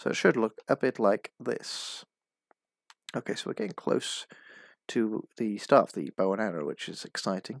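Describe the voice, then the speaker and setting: A man with a fairly low pitch and vocal fry talks with ordinary pitch variation and long, frequent pauses. The sound is dry and close with no echo, in a very clean recording with a silent background. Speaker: minecraft pixel art tutorial creator. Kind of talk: tutorial. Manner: fast.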